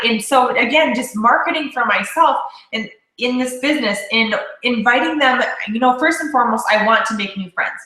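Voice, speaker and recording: Loud and animated, a woman speaks at a high pitch and a fairly quick pace, with audible room echo. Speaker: network marketing leader. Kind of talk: casual chat.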